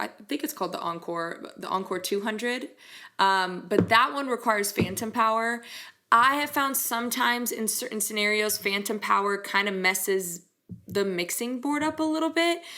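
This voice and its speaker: Her bright, sharp tone sits at a fairly high pitch, and the woman speaks with lively intonation at a moderate pace. The recording is very clean, with a silent background. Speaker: singer and music channel host. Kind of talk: product review. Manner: casual, with fillers.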